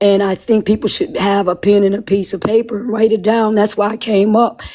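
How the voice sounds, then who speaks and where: A dark, mellow tone in a woman's voice of medium pitch. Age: 60s. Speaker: listener participant, parent. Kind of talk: casual group discussion.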